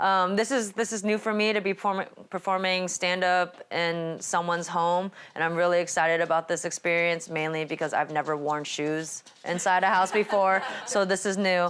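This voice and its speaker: Very even loudness and fairly even intonation mark this voice with a Californian accent. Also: woman, fairly low pitch for a woman, moderate pace. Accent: Californian American English. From California, Sacramento. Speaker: stand-up comedian. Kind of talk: stand-up. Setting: performing in someone's home with small audience.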